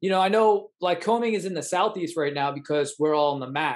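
Pitched high, the man speaks with ordinary pitch variation. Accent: American. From Long Island, New York (Suffolk County). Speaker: podcast host. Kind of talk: interview.

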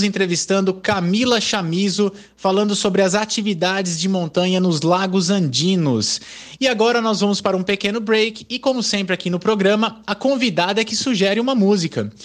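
A man with a high pitch at a moderate pace, with ordinary pitch variation and a quiet background. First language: Portuguese (speaking Spanish). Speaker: radio host. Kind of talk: radio interview.

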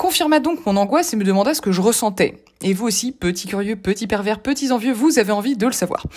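A woman with a fairly high pitch talks very fast, her intonation lively. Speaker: columnist. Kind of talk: reading aloud. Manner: formal.

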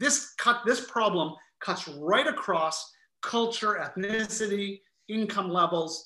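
In a Canadian accent, a man uses a raised, projected voice that is high in pitch, bright and sharp in tone, with lively intonation. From Quebec, Montreal. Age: 50s. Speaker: author and estate planning speaker. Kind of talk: webinar interview.

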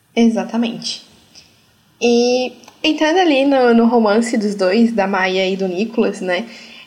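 At a fairly slow pace, a woman with a fairly high pitch speaks with ordinary pitch variation, and room echo is audible. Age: 20s. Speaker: podcast host. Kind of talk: interview. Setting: video call.

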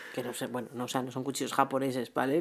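A woman talks at a very fast pace in a husky voice. The recording is very clean, with a silent background. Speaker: podcast co-host. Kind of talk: casual chat.

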